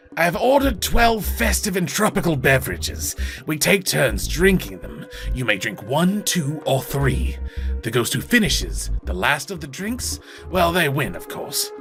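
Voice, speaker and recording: A man puts on a wheezy character voice at a moderate pace. Music plays behind him. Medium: game stream. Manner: archaic, grandiloquent.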